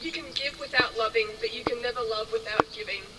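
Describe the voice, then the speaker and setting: Someone with an Australian accent speaks at a moderate pace amid noticeable background noise. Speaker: wedding reader. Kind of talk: reading aloud.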